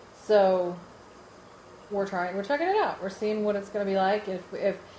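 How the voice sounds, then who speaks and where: A woman's dark, mellow, medium-pitched voice carries audible room echo. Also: fairly even intonation, moderate pace. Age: 40s. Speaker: podcast co-host. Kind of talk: casual family podcast chat.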